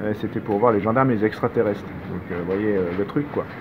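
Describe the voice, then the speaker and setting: The speaker has a strong Savoyard accent and a fairly quick pace. Noticeable background noise runs underneath. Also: man. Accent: strong regional Savoyard. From Savoie, France. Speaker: documentary filmmaker. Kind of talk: interview answer. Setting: Parisian café. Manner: gentle, calm tempo.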